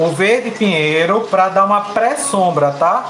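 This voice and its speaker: Speech comes at a very slow pace with ordinary pitch variation, amid light background noise and audible room echo. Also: man. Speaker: fabric painting teacher. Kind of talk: live painting tutorial. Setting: live stream.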